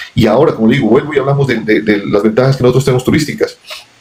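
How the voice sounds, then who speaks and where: A man talks at a very fast pace. His tone is animated, and his pitch varies in an ordinary way. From Colombia, Pasto (Nariño). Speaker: businessman. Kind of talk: interview conversation. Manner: animated, repetitive stammering.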